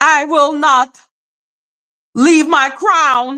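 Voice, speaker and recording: Using a put-on character voice, a woman speaks with high pitch and fairly even intonation. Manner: dramatic, Shakespearean.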